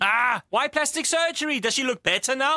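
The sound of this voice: A man puts on a character voice pitched extremely high, with a bright, sharp tone, lively intonation and a moderate pace.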